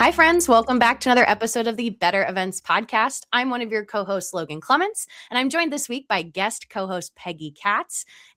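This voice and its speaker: A woman speaks at a fairly high pitch and a fairly quick pace, with hardly any pauses and very wide pitch swings. Her tone is bright and sharp, and the sound is dry and close with no echo. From US, Delaware County, Pennsylvania. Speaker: podcast host. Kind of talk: episode intro; podcast interview.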